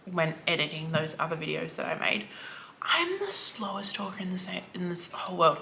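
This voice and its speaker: A woman with an Australian accent speaks at a fairly quick pace over noticeable background noise. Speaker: book vlogger. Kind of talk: casual vlog chat.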